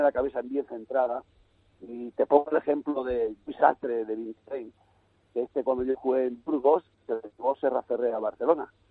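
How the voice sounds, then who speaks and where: In an ordinary speaking voice, a man talks at a moderate pace with medium pitch and fairly even intonation. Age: 60s. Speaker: youth football coach. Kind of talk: radio interview.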